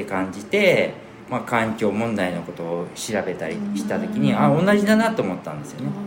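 A man talks at a moderate pace with very wide pitch swings, over noticeable background noise and audible room echo. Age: 50s. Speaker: seed specialist and former cook. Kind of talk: casual chat.

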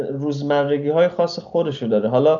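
A man talks at a fairly quick pace in an ordinary speaking voice. His pitch is medium. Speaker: traveler. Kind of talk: interview.

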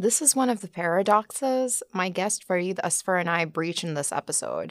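Using an ordinary speaking voice, a woman with a medium pitch and lively intonation speaks at a fairly slow pace in a very clean recording with a silent background. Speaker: podcast host. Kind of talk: scripted narration; interview.

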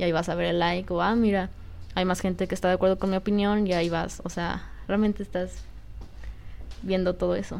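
A woman talks at a fairly quick pace with long, frequent pauses. Her medium-pitched voice stays monotone and flat. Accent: Mexican. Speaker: podcast co-host. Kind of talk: casual chat.

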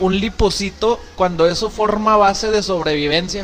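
A man's voice over noticeable background noise. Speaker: podcast host, nutritionist and trainer. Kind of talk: casual chat.

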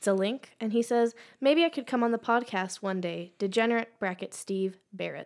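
A woman with a plain, everyday voice speaks at a fairly high pitch and a moderate pace. Her pitch varies in an ordinary way on a very clean recording with a silent background. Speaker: podcast co-host. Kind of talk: casual banter.

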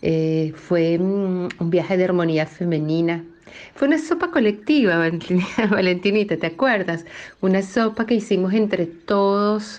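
Keeping her loudness very even, a woman speaks fairly slowly at a medium pitch with ordinary pitch variation. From Venezuela, Río Caribe (Sucre). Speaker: cook. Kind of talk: recorded personal testimony. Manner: reflective, slightly hesitant.

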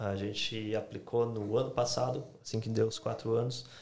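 The voice is somewhat breathy with fairly even intonation. It moves at a fairly slow pace. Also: man. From Brazil, Santa Catarina. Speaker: YouTuber. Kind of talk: casual chat.

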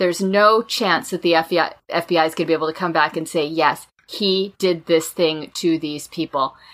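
A woman with a plain, everyday voice, fairly low pitched, in an American accent, with fairly even intonation, a moderate pace and hardly any pauses. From Kensington, Maryland. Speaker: podcast host, progressive panelist. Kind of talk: casual political debate podcast.

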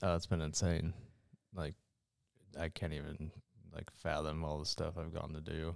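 At a moderate pace, a man with a very deep, low pitch talks in a monotone, flat intonation, leaving long, frequent pauses. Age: 20s. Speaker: endurance athlete and podcast co-host. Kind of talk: casual chat.

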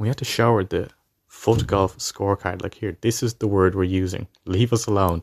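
A man's fairly low voice in a Dublin accent, fairly even intonation, moderate pace, dry, close sound with no echo, and a quiet background. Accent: Dublin Irish. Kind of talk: anecdote.

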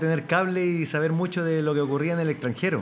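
A man with a fairly high voice talks at a fairly quick pace, with audible echo in the room. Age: 40s. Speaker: retired footballer and players' union president. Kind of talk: interview with children before live audience. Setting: school event with live audience.

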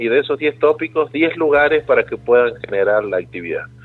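A man's fairly high voice at a moderate pace with ordinary pitch variation, music in the background. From Argentina, San Luis. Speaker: tourism businessman. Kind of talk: radio interview.

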